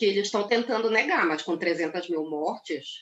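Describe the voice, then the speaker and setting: This is a woman speaking. Her pace is moderate. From Brazil, Pará (North). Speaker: journalist and political scientist. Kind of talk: casual interview. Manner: animated.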